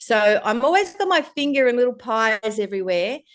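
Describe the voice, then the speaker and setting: In an Australian accent, a woman speaks against a quiet background. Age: 60s. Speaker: life coach and entrepreneur. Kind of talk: podcast interview. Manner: hesitant with many fillers.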